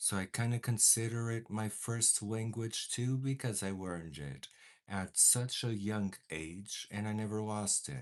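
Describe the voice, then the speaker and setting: A man speaks fairly slowly in a Portuguese accent, at fairly low pitch with ordinary pitch variation. The background is quiet. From Portugal. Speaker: makeup vlogger. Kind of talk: casual livestream makeup chat. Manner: animated.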